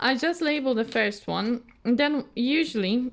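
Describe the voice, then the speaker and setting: A woman with a Polish accent speaks at a fairly high pitch and a fairly slow pace. The recording is very clean, with a silent background. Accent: non-native, Polish. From Poland. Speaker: craft youtuber. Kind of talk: casual chat. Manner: halting, many fillers and repeats.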